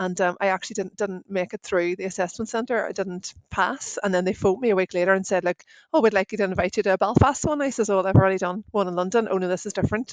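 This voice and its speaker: With a Northern Irish accent, a woman rattles along very fast with hardly any pauses, her medium-pitched voice showing ordinary variation in a dry, close sound with no echo. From Northern Ireland. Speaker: IT service operations director. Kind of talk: podcast interview. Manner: casual, chatty.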